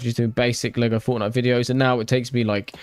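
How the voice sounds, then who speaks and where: A man with a British accent talks very fast at a medium pitch. His intonation stays monotone and flat. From Britain. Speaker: gaming YouTuber, livestreamer. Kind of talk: casual livestream chat while building.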